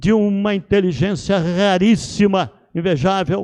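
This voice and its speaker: The sound is dry and close, without any echo. A man talks in a dark, mellow tone. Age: 80s+. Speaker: retired Presbyterian pastor. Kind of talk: interfaith panel discussion on TV. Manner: formal.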